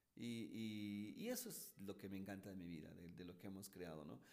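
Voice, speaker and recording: A man talks at a fairly quick pace in a fairly low voice. Audible room echo hangs around his words. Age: 50s. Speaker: motivational speaker and entrepreneur. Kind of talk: interview. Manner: animated.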